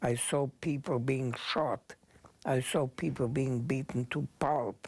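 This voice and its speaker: A man with a non-native accent speaks at a very slow pace, at medium pitch, somewhat breathy. His intonation remains fairly even. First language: not English. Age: 80s+. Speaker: Holocaust survivor. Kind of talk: talk to students.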